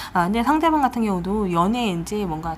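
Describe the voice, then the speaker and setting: At a fairly quick pace, a woman speaks in a medium pitch with very wide pitch swings. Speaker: tarot reader. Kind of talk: tarot reading video monologue. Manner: fast; casual, conversational.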